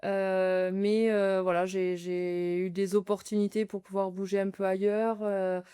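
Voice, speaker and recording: A woman with a dark, mellow tone and medium pitch speaks very slowly in a monotone, flat intonation, hardly pausing, on a very clean recording with a silent background. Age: 30s. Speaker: nurse, charity sports challenger. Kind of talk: interview conversation. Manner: hesitant, many fillers.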